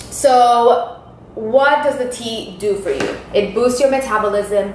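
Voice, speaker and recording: A woman with a high pitch speaks with lively intonation. There is audible room echo and noticeable background noise. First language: not English. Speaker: Herbalife distributor. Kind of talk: tutorial. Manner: informal. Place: kitchen. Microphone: camera far.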